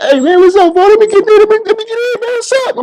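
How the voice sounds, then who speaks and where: A man's loud, squeaky put-on character voice, extremely high-pitched, at a very fast pace over light background noise. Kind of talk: casual slang. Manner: loud, eager, hyped.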